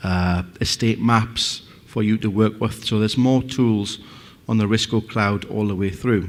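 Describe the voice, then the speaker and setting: A man's fairly low voice in a Northeast English accent. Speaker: company representative presenting a product. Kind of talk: conference presentation.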